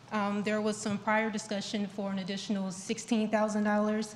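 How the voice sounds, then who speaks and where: Soft-spoken and somewhat breathy, a woman talks at a medium pitch and a fairly quick pace. Her intonation is monotone and flat. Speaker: town staff member presenting grant report. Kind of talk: presentation at public board meeting. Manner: halting, many fillers.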